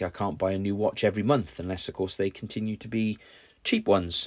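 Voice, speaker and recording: This very clean recording with a silent background features a man with a British accent whose fairly low voice keeps a fairly even intonation. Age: 50s. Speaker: podcaster and hobby YouTuber. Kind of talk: casual solo podcast monologue.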